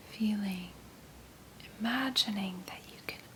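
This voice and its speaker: Someone whispers over noticeable background noise. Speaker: ASMR artist. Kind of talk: guided meditation. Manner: slow, calm.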